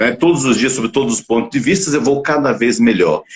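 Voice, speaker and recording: A man speaks at a medium pitch. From Bahia, Northeast Brazil. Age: 60s. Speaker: talk show host and physician. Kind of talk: live-streamed interview show. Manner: animated, motivational.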